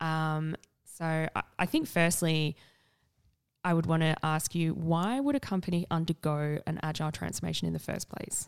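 In a South Australian accent, a woman speaks at a fairly low pitch in a very clean recording with a silent background and a dry, close sound with no echo. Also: fairly even intonation, moderate pace. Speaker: podcast host. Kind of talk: casual interview chat.

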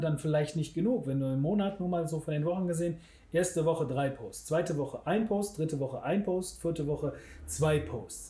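A man's fairly high voice has a dark, mellow tone. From Germany, Bergisches Land (Wermelskirchen/Remscheid). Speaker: web designer. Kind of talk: casual interview. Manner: halting, many fillers.

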